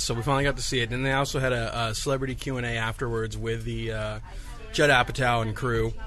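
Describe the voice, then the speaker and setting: A man talks at a fairly quick pace, and noticeable background noise is present. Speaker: podcast host. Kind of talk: casual chat. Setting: in-store studio recording.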